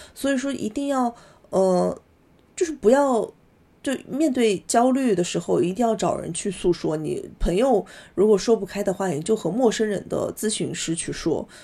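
Against a quiet background, a woman speaks with a fairly high pitch. Her tone is dark and mellow, with lively intonation. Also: moderate pace. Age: 30s. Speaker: podcast guest. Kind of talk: casual chat. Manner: hesitant, many fillers.

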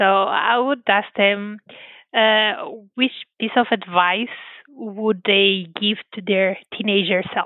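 At a very slow pace, a woman with a Portuguese accent speaks at a medium pitch with fairly even intonation. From Portugal, Porto area. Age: 30s. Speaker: scientist. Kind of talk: interview.

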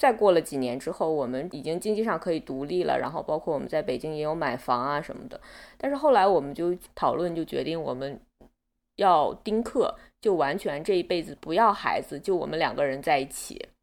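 In an ordinary speaking voice, a woman with a fairly low pitch talks at a fairly quick pace with lively intonation, on a very clean recording against a silent background. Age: 30s. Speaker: interviewee sharing abortion experience. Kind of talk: personal testimony in interview.

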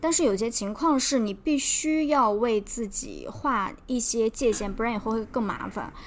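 Her pitch variation is ordinary. This woman talks at a moderate pace. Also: fairly high pitch for a woman, hardly any pauses. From China. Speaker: podcast co-host. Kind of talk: scripted narration; casual chat. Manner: slightly halting, many fillers.

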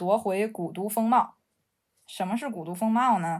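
A woman with a Beijing accent speaks at a fairly slow pace and medium pitch, with ordinary pitch variation. The recording is very clean, with a silent background. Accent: Beijing Mandarin with erhua. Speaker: architect and urban researcher. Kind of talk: casual chat. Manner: hesitant, many fillers.

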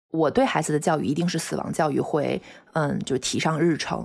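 A woman speaks with a very deep, low pitch and vocal fry at a fairly quick pace. The recording is very clean with a silent background. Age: 30s. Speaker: pet owner sharing bereavement story. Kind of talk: personal testimony. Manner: halting, with fillers and repetitions.

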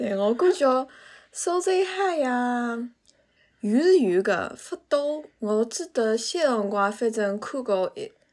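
The voice moves in very wide pitch swings. Its pace is very slow. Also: woman, high pitch for a woman. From Suzhou, Jiangsu, China. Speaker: podcast guest. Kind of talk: casual chat.

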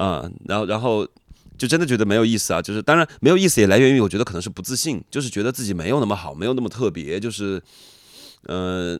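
Fairly low in pitch, a man races along at a very fast pace with lively intonation. The recording is very clean, with a silent background. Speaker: rapper. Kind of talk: interview conversation.

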